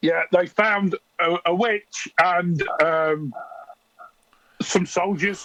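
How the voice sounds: A man's put-on character voice, high-pitched, bright and sharp, with fairly even intonation, a very slow pace and a dry, close sound with no echo.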